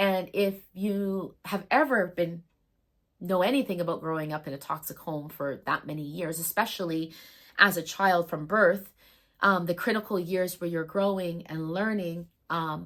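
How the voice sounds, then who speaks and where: In a very clean recording with a silent background, a woman speaks at a moderate pace, her pitch fairly low and its variation ordinary. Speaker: spiritual medium and astrology storyteller. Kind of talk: personal storytelling monologue. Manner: loud; emphatic, heated.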